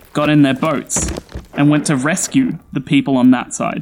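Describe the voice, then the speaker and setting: Over noticeable background noise, a speaker with an Australian accent talks with ordinary pitch variation. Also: man. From Australia, Sydney. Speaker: storyteller. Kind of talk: scripted narration.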